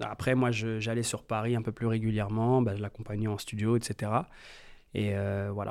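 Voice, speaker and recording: Over a very clean recording with a silent background, a man speaks fairly slowly at medium pitch in a flat monotone. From France, Metz. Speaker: music producer. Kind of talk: interview. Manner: hesitant, many fillers.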